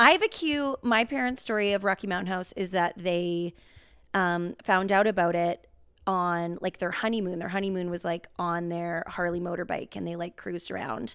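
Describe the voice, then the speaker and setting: In a Western Canadian accent, a woman speaks at a moderate pace with a fairly low pitch on a very clean recording with a silent background. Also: ordinary pitch variation. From Canada, rural Alberta. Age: 30s. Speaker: podcast co-host. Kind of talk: casual chat.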